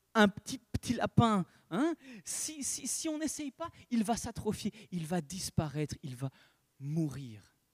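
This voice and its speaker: At a high pitch with very wide swings, a man speaks at a very slow pace in a dry, close recording with no echo. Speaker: preacher. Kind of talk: sermon. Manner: halting.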